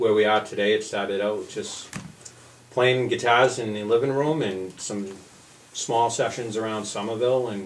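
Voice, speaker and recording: With audible room echo and noticeable background noise, a man in a Boston accent speaks at a moderate pace, medium pitch and fairly even intonation. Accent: Boston area. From Massachusetts, Billerica. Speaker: folk musician. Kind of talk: radio interview. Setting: radio studio.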